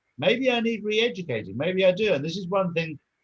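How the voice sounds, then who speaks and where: The man's voice is somewhat breathy. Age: 60s. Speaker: interview guest, activist. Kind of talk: interview.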